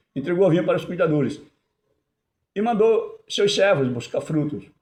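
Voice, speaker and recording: With audible room echo, a high-pitched man speaks at a moderate pace with lively intonation. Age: 70s. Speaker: lay preacher. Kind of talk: sermon. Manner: halting.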